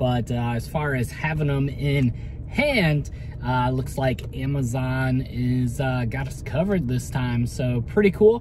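A man at a fairly slow pace, dry sound with no echo, over noticeable background noise. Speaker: toy collector vlogger. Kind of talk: casual vlog chat. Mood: upbeat, excited. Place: car. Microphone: phone near.

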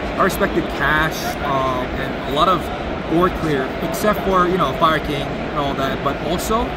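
A man at a moderate pace, dry sound with no echo, loud background noise. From US, Georgia. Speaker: competitive card game player. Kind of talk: casual interview about his card deck. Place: hall. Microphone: phone near.

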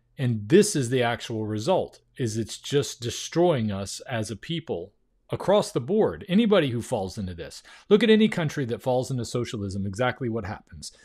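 Very wide pitch swings run through this man's voice at a moderate pace. Behind him, the background is quiet. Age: 50s. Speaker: YouTuber reacting to interview. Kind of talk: video reaction commentary. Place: home room. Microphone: studio mic.

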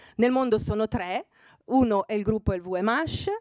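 A woman at a fairly slow pace, against a quiet background, in a dry sound without echo. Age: 60. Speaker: fashion magazine editor speaking to students; guest. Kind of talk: talk to master's students. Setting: room with student audience. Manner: hesitant with fillers. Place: hall. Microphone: podium.

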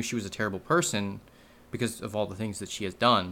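A man with a bright, sharp tone at a very fast pace. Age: 20s. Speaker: YouTuber; vlogger. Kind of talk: personal monologue; personal confessional vlog. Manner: halting. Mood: serious, emotional, reflective. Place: home room. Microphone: webcam.

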